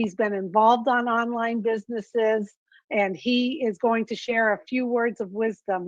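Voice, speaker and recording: A woman uses a normal speaking voice, fairly high, at a moderate pace with ordinary pitch variation. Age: 60s. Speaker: webinar host. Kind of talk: online business webinar.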